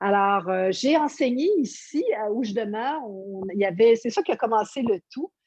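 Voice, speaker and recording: A woman with a normal speaking voice talks at a fairly high pitch and fairly slow pace, with lively intonation and hardly any pauses. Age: 60s. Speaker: yoga teacher. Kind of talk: interview.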